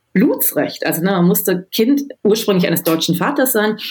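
Somewhat breathy, a woman talks at a moderate pace with a medium pitch. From Germany, Düsseldorf. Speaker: novelist. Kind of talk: interview.

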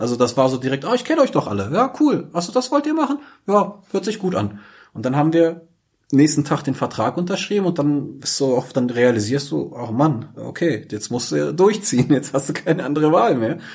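On a very clean recording with a silent background, a man speaks somewhat breathily at a fairly quick pace and fairly high pitch, his voice swinging very widely in pitch. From Germany, Braunschweig. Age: 30s. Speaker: DJ and club operator. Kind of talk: podcast interview. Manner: hesitant, many fillers.

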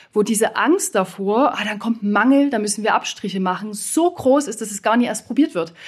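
A woman's fairly high, somewhat breathy voice at a fairly quick pace, with ordinary pitch variation, on a very clean recording with a silent background. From eastern Germany. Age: 30s. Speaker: former nurse turned coach and consultant. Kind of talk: panel debate.

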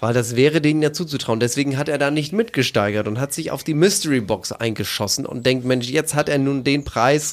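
At a fairly quick pace, a man speaks in an ordinary speaking voice of medium pitch with ordinary pitch variation. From East Frisia, northern Germany. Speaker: podcast co-host. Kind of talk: casual chat.

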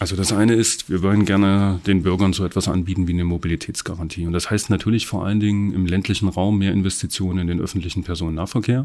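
Speaking at a very fast pace with hardly any pauses, a man with a very deep, low pitch keeps his intonation fairly even and his tone dark and mellow. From Saxony, Erzgebirge (Annaberg-Buchholz). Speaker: politician. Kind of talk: political interview.

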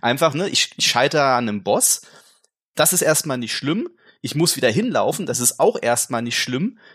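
A man's unremarkable speaking voice, fairly high in pitch, with lively intonation and a moderate pace, on a very clean recording with a silent background. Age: 40s. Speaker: gaming journalist, podcast co-host. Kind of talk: casual chat.

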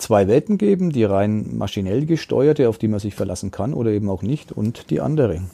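Medium in pitch with a dark, mellow tone, a man talks at a moderate pace with ordinary pitch variation. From Upper Palatinate (Neumarkt), Bavaria. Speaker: newspaper journalist and podcast host. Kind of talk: casual chat.

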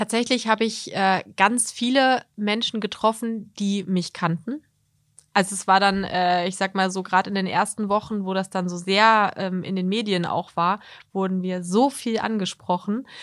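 In a very clean recording with a silent background, a woman speaks at a moderate pace and medium pitch with fairly even intonation. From Harz region, Germany. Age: 30s. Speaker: model and communications consultant, long-distance hiker. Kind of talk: interview. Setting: studio. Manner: hesitant with many fillers.

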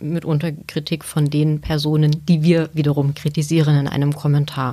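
Her voice is very deep and low, with a dark, mellow tone. The woman speaks at a moderate pace in a flat monotone. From Saxony, Chemnitz. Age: 40s. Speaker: newspaper editor. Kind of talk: interview.

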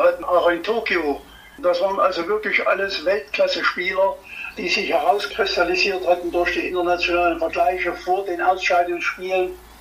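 A man keeps a moderate pace with noticeable background noise behind him. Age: 80s+. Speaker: former hockey player and coach. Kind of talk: interview.

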